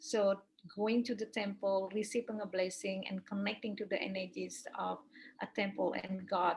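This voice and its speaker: A woman's somewhat breathy, medium-pitched voice in a Balinese accent, at a fairly slow pace with fairly even intonation. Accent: Balinese Indonesian. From Bali, Indonesia. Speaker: Balinese priestess and yoga teacher. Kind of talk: interview answer. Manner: hesitant, non-native English with fillers.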